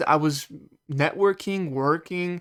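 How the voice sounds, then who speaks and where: A man mumbles at a high pitch and a fairly slow pace with ordinary pitch variation, on a very clean recording with a silent background. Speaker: gamer doing a let's play. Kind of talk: casual gameplay commentary. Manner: mumbling; halting, stammering.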